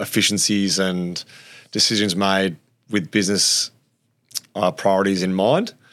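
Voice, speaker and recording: A man talks with an Australian accent. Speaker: former AFL player. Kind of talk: casual interview chat.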